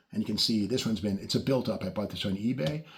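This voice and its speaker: Noticeable background noise accompanies a medium-pitched man speaking fairly quickly. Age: 60s. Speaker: car and model-kit video host. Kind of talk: casual show-and-tell video. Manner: casual, with frequent fillers.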